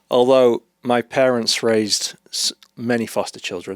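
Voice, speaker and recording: A man with a British accent speaks with monotone, flat intonation in a dry, close sound with no echo. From UK. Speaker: therapist and author. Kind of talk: podcast interview.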